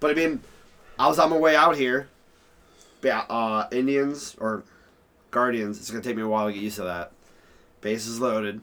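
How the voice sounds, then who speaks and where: Pausing long and often, a man speaks at a medium pitch in a bright, sharp tone with ordinary pitch variation. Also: moderate pace. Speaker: podcast co-host. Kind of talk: casual sports chat.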